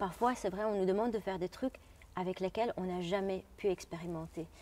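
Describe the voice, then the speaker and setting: A woman's dark, mellow tone at a fairly quick pace, with fairly even intonation. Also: medium pitch for a woman. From Jordan. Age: 30s. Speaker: opera singer. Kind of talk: interview. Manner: halting.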